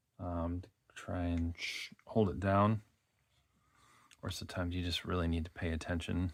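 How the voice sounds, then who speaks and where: In a Wisconsin accent, a man speaks at a moderate pace with a very deep, low pitch and a relaxed tone, his intonation monotone and flat. Long, frequent pauses break up his speech on a very clean recording with a silent background. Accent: Midwestern Wisconsin, recognizable. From Wisconsin, US Midwest. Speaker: fluid art painter. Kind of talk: casual tutorial. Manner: relaxed, filler-heavy.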